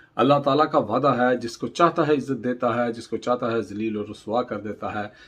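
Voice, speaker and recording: This man has an unremarkable speaking voice at a medium pitch with ordinary pitch variation. Behind him the background is quiet. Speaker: news commentator. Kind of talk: political news commentary.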